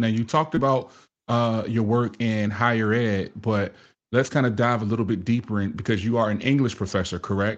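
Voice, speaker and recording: An unremarkable speaking voice from a man, medium in pitch, at a moderate pace, with ordinary pitch variation, very even loudness and a quiet background. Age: 40s. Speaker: podcast host and fatherhood speaker. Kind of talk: casual interview.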